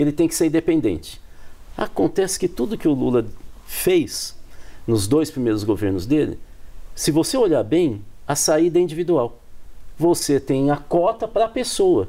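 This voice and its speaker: A man with a fairly high pitch, a dark, mellow tone and vocal fry speaks at a moderate pace. His pitch swings very widely, with long, frequent pauses. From Brazil, countryside. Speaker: political scientist. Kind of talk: TV panel discussion.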